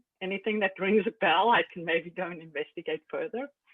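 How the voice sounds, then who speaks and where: This is a woman's voice. She speaks with a South African accent. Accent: South African, still noticeable. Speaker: Linux system administrator. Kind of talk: casual chat.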